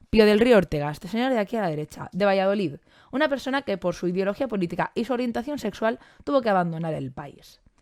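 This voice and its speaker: On a very clean recording with a silent background, a woman speaks at a fairly quick pace with lively intonation. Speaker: biology teacher and science communicator. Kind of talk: conference talk. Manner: fast.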